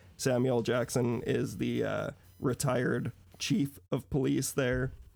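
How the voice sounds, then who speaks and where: This man talks at a medium pitch, and his voice has vocal fry. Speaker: podcast guest, movie fan. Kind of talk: casual chat. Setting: video call.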